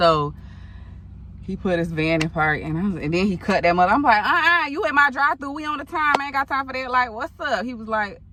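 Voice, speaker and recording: Over noticeable background noise, a woman talks at a fairly quick pace in a high voice with very wide pitch swings and big swings in loudness. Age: 30s. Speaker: storytime vlogger. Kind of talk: casual storytelling. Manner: animated.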